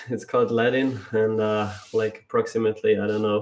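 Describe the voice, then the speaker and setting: In a South Tyrolean accent, the speaker talks at a moderate pace with flat, monotone intonation. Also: man. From northern Italy, South Tyrol Ladin valley. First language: German. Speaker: climber, co-commentator. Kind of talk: casual livestream chat. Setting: livestream.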